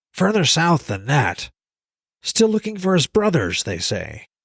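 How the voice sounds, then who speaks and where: Put-on character voice from a man, high in pitch, moderately paced. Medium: read story. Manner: chatty, good-humored.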